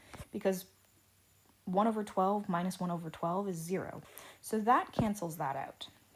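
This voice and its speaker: A woman talks at a medium pitch with ordinary pitch variation and long, frequent pauses. Audible room echo fills the recording. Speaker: teacher. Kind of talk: lecture. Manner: slow, deliberate.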